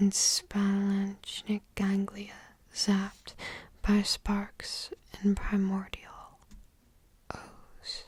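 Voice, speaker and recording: The speaker whispers at a very slow pace. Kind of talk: ASMR whisper reading, sleep aid. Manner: whispered, soft-spoken, rambly.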